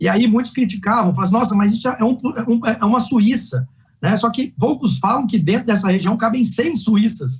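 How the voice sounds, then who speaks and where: This man's voice sits high and moves along at a fairly quick pace. His loudness stays very even, with ordinary pitch variation. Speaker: energy sector executive. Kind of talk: panel talk. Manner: fast.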